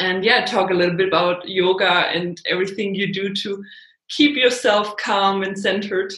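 A woman with a German accent speaks at a moderate pace and medium pitch. Her intonation is fairly even, and room echo is audible. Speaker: podcast host, yoga teacher. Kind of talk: casual interview.

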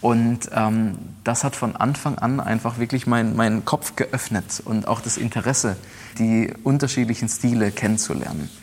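Keeping fairly even intonation at a moderate pace, a man talks in an ordinary speaking voice with medium pitch. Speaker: pianist and conductor. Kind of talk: interview. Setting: old factory hall with historic pianos.

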